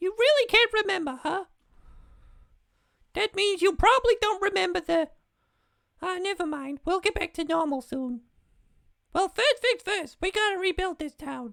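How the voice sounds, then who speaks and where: Putting on a squeaky character voice at an extremely high pitch, a man speaks at a moderate pace with long, frequent pauses. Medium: game stream. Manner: bright, sweet.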